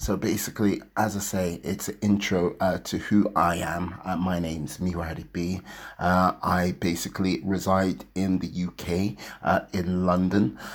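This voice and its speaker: Speaking at a fairly slow pace, a man uses a very deep, low pitch with fairly even intonation. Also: very clean recording, silent background. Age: 40s. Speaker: motivational podcaster. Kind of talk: unscripted monologue. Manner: hesitant, many fillers.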